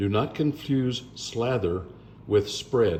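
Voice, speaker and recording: A man's fairly low, somewhat breathy voice, very slow but lively in intonation, with audible room echo. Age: 70s. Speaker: blues musician making a cooking video. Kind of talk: cooking tutorial. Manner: casual, jokey asides.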